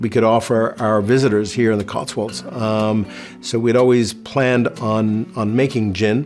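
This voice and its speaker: Music plays in the background as a man with an American accent speaks. His pitch is medium and his intonation fairly even. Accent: American, noticeable in England. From New York City. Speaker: distillery founder and CEO. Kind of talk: virtual tasting presentation. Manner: halting, many fillers.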